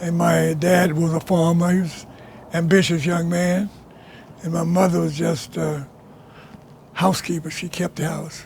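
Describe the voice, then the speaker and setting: A high-pitched man at a moderate pace, flat and monotone, with long, frequent pauses over noticeable background noise. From US South (rural Alabama). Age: 90s. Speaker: oral history interviewee. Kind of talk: oral history interview. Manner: halting, repetitive.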